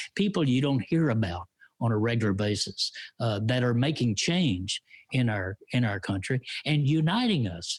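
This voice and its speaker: At a moderate pace, a man with a Texan accent talks at a medium pitch, somewhat breathy, with very wide pitch swings and very even loudness, in a very clean recording with a silent background. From Texas. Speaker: radio commentator and show host. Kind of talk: live-streamed casual chat show. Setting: live stream.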